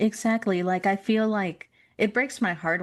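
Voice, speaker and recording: At a moderate pace, an ordinary speaking voice talks with fairly even intonation over a quiet background. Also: woman. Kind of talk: interview conversation.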